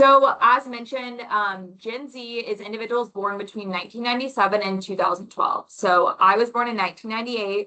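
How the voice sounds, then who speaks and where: Her pitch is fairly high, and a woman speaks at a fairly quick pace with hardly any pauses. Loudness swings widely while pitch varies in an ordinary way. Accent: American. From Florida (Orlando). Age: 20s. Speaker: mortgage loan officer, presenter. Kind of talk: webinar presentation. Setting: online webinar. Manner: conversational with many fillers.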